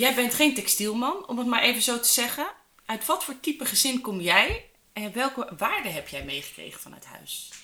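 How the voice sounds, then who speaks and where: Against noticeable background noise, a woman with a high pitch speaks at a moderate pace, her intonation lively and her loudness swinging widely. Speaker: podcast host. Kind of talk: interview.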